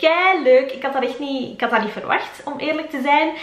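In a Flemish accent, a woman talks at a fairly quick pace with a high pitch and ordinary pitch variation, and audible room echo surrounds her voice. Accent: Flemish Dutch. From Belgium. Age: 20s. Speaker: lifestyle YouTuber. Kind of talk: casual vlog monologue. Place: home room.

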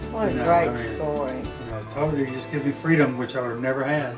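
Loud music plays in the background as a man speaks. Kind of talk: casual demonstration and thanks. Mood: grateful, upbeat. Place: home room. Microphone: camera far.

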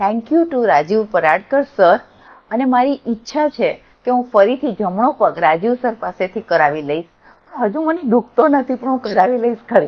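This woman's voice sits at a fairly high pitch. Her pitch swings very widely. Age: 60s. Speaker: patient. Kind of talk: testimony. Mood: grateful, cheerful. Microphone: lapel.

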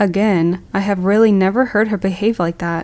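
This woman has an unremarkable speaking voice with a medium pitch. She keeps a moderate pace and fairly even intonation. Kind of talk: horror story narration for sleep. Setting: rain sounds in background.

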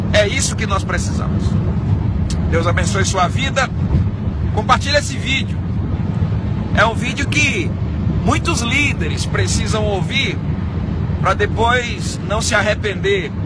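A man at a fairly slow pace with long, frequent pauses, a dry sound with no echo, and loud background noise. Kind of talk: casual religious vlog talk. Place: car. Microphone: phone near.

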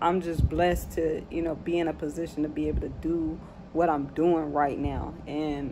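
Noticeable background noise sits behind a woman's voice. Her pitch is very deep and low, and her intonation is monotone and flat. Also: moderate pace. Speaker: vlogger. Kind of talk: casual reflective vlog chat. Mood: reflective, calm. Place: home room. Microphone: phone near.

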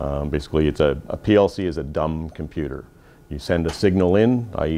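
A man with a Canadian accent speaks at a moderate pace in a very deep, low voice. His tone is dark and mellow. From Canada. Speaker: fire trainer instructor. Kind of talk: classroom equipment training briefing. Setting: classroom with small group. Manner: informal, conversational, inviting questions. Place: classroom.

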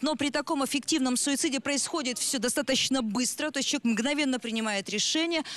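The delivery moves at a moderate pace, with a dry sound and no echo. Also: woman. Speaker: psychologist; guest. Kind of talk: expert commentary. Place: studio. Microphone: handheld.

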